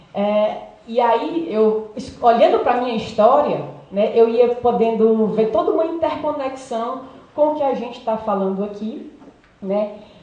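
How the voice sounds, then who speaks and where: Against noticeable background noise and audible room echo, a woman with a fairly high pitch speaks at a fairly slow pace with lively intonation. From Brazil, Ceará (Fortaleza). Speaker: psychologist, doctoral student. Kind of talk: seminary summary talk.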